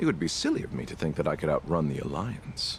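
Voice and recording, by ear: A man's put-on character voice, extremely low-pitched with vocal fry, big pitch swings and a fast pace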